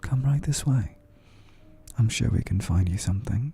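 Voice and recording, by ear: Soft-spoken and breathy, a man uses a put-on character voice at medium pitch. He talks at a moderate pace with music in the background.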